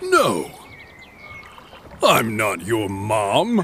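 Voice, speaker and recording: A man does a cartoonish character voice at medium pitch over clear background noise. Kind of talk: children's animated story.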